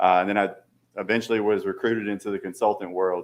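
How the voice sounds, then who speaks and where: A man speaks with a Southern accent in a monotone, flat intonation at fairly low pitch. The recording is very clean, with a silent background. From Louisiana. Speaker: aviation consultant. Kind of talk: presentation to city council. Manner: halting, many fillers.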